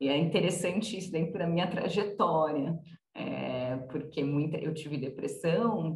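A woman with a São Paulo accent, very deep, low pitch, ordinary pitch variation and a fairly slow pace. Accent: Brazilian Portuguese, paulistano. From Brazil, São Paulo city. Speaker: nonprofit co-founder and president. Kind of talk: interview.

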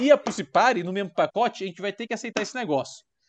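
Over a quiet background, a man talks very fast with ordinary pitch variation, the sound dry and close with no echo. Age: 30s. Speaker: podcast co-host. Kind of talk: casual chat. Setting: recording from home.

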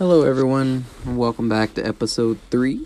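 This is a normal speaking voice. The intonation is fairly even. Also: man. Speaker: devotional podcast host. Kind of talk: short devotional message.

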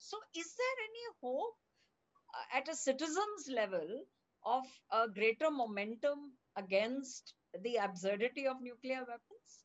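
Speaking at a fairly slow pace, a woman uses a high voice with very wide pitch swings. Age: younger than the guest. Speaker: podcast host. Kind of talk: podcast interview.

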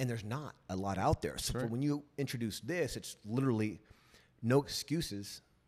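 With lively intonation, a man with a plain, everyday voice speaks at a moderate pace and medium pitch. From US West Coast, San Diego. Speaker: podcast host. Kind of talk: casual interview.

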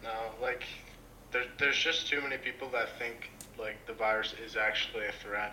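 Over noticeable background noise, a man with a Canadian accent speaks at a medium pitch, leaving long, frequent pauses. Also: fairly even intonation, moderate pace. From Canada. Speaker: random video chat stranger. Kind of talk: casual chat. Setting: video call.

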